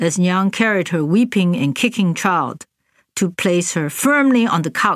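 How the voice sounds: A natural reading voice carries the clip. Behind it, things stay quiet.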